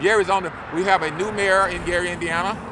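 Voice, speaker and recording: Using a raised, projected voice, a man speaks at a high pitch. His pace is moderate, with noticeable background noise behind him. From Arkansas. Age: 70s. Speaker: local elected official. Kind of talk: street interview. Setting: outdoors on a city street.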